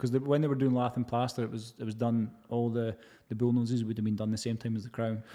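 A man with a Scottish accent speaks at a very fast pace and a medium pitch. His tone is dark and mellow, his intonation monotone and flat. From Scotland, Edinburgh. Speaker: heritage plasterer. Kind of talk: casual chat.

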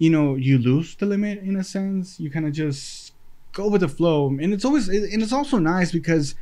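A man's high-pitched voice, dark and mellow in tone, with lively intonation at a moderate pace. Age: 20s. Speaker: podcast host. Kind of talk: casual solo monologue. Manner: halting, many fillers and repetitions.

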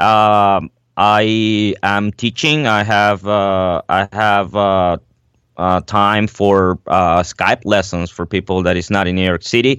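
With a Spanish accent, a man speaks very slowly at a fairly low pitch. His intonation is fairly even, and the background is quiet. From Venezuela. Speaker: jazz drummer and teacher. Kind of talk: interview. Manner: halting, many fillers.

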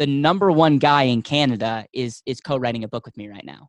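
This man has an unremarkable speaking voice at a medium pitch, with ordinary pitch variation and a fairly quick pace. The sound is dry and close, with no echo. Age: 20s. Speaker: financial company founder. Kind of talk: interview.

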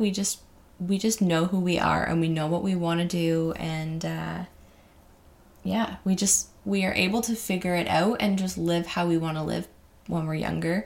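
A woman's plain, everyday voice with a Canadian accent, fairly low in pitch, at a moderate pace with ordinary pitch variation. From Ontario, Canada. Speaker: podcast host. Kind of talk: casual monologue. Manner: casual, with fillers and laughs.

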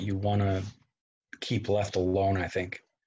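Against a quiet background, a man talks in a somewhat breathy voice at a fairly low pitch. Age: 30s. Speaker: co-host guest. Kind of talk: casual chat about a movie.

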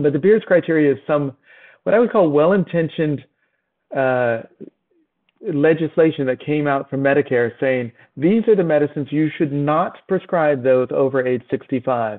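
Here is a man with an ordinary speaking voice. His fairly high pitch shows ordinary pitch variation at a moderate pace. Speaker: physician and novelist. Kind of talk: casual interview chat.

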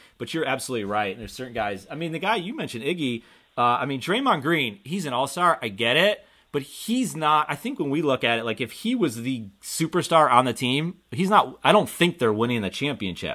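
Bright and sharp in tone, a man talks in a fairly high voice with an American accent, at a fairly quick pace. His pitch swings very widely, and the recording is very clean with a silent background. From Buffalo, New York, US. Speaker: business owner and podcast host. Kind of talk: casual interview chat.

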